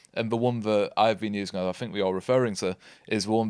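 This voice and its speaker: A man with a Yorkshire accent talks at a fairly low pitch with fairly even intonation. The recording is very clean, with a silent background. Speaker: podcast co-host, marketer. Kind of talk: casual podcast chat.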